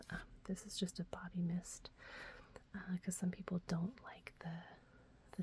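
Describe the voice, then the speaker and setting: A woman is whispering. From Texas, USA. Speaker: ASMR creator. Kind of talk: ASMR talk to camera, casual product show-and-tell. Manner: soft-spoken.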